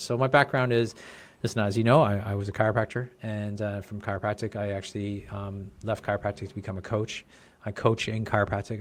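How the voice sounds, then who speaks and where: Speaking in a normal speaking voice, a man talks fairly quickly at a fairly low pitch. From Canada, Brampton, Ontario. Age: 40s. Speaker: chiropractor and business coach. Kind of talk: casual interview chat.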